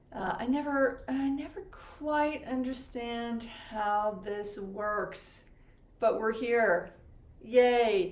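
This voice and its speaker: Audible room echo surrounds a woman with a warm tone and high pitch who talks at a very slow pace with ordinary pitch variation. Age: 60s. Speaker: spiritual channeler. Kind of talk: live stream chat. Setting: live stream. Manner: casual, warm.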